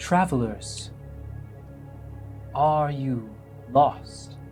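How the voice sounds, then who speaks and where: Against clear background music, a man puts on a soft-spoken character voice at medium pitch with a gentle tone. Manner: eerie, gentle.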